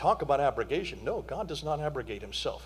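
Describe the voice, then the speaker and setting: A man at a very fast pace, with audible room echo. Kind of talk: conference lecture. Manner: animated.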